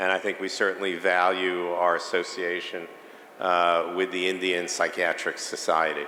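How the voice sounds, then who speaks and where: With a New York accent, a man speaks in a very deep, low pitch at a moderate pace, his intonation monotone and flat, his loudness very even, and audible room echo around him. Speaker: psychiatrist, conference speaker. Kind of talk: lecture. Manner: hesitant, many filler sounds.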